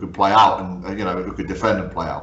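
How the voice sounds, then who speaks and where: A man speaks at a very fast pace in a monotone, flat intonation. There is noticeable background noise. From Guernsey (northeast England roots). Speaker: football podcast host and coach. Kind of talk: casual interview. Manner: hesitant, many fillers.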